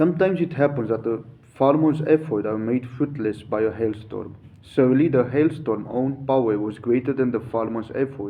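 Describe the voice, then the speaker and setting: A man with a non-native accent talks at a moderate pace, keeping a medium pitch and ordinary pitch variation. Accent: non-native English pronunciation. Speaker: yoga teacher. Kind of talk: reading aloud with commentary. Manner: halting, self-correcting.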